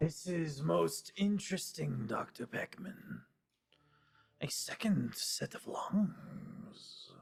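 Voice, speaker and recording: Someone puts on a character voice at a middle pitch and speaks very slowly. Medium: actual play. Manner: formal, precise.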